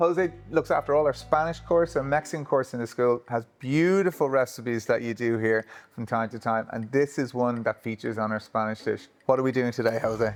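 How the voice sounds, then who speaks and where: A man with an unremarkable speaking voice talks at a fairly quick pace and medium pitch, with ordinary pitch variation and hardly any pauses. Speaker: cookery school host. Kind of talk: casual interviewer talk.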